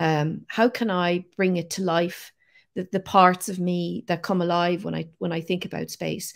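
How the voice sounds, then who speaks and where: Recorded very cleanly against a silent background, a woman with an Irish accent speaks at medium pitch and a moderate pace. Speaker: science communicator. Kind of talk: interview.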